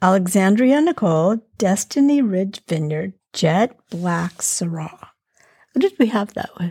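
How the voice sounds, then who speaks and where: This woman's voice has a medium pitch and a dark, mellow tone that is somewhat breathy. She speaks at a fairly slow pace with lively intonation. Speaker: podcast host. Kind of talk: casual chat.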